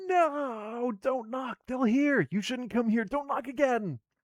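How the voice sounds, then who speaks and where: A man puts on a character voice, shrill and extremely high-pitched. He goes at a fairly slow pace with ordinary pitch variation. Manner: panicked, urgent.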